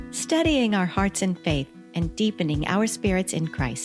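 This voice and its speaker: Background music accompanies a woman talking at a moderate pace. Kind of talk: podcast host.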